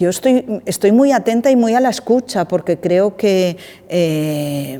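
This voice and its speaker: The tone is dark and mellow. The delivery comes at a fairly slow pace. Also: woman. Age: 60s. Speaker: director of a vocational training organization. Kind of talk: interview conversation.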